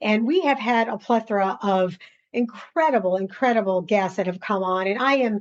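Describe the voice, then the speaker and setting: Against a quiet background, someone with a New York accent talks at a fairly quick pace with ordinary pitch variation. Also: woman. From US, New York. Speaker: podcast host. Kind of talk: interview. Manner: laughs while talking.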